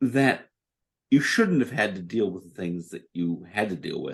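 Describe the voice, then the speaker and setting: The speaker talks at a fairly slow pace. Their pitch swings very widely. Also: man. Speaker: podcast host. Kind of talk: casual chat. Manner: calm.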